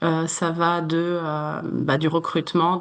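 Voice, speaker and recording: A woman's fairly low, flat monotone voice against a quiet background. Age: 30s. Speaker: human resources manager. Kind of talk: interview. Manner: many hesitations (euh).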